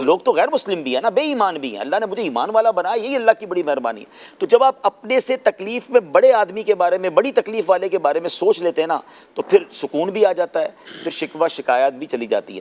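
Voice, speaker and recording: A high-pitched man's voice with very wide pitch swings, big swings in loudness and noticeable background noise. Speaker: Islamic scholar and preacher. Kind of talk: Islamic sermon (bayan) in Urdu. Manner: conversational, explanatory.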